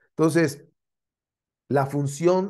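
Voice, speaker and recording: A man with a Mexican accent and a dark, mellow tone at a very slow pace, with ordinary pitch variation and a quiet background. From Mexico. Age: 60s. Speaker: spiritual teacher. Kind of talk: lecture. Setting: live stream. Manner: halting.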